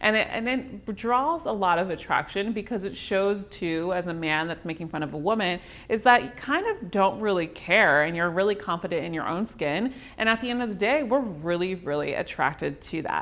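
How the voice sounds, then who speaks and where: Noticeable background noise sits behind a woman talking at a moderate pace. She has a slight Southern California accent. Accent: slight Valley Girl. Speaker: dating coach. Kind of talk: advice talk to camera. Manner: casual, chatty.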